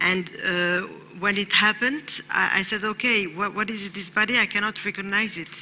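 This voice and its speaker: A woman talks over noticeable background noise. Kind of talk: personal testimony. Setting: stage with audience. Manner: halting.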